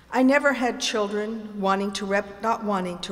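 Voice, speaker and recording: A woman speaks at a moderate pace. Room echo is audible, and there is noticeable background noise. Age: 70s. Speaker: performer doing a comic reading. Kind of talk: comic monologue performance. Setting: theatre stage with audience.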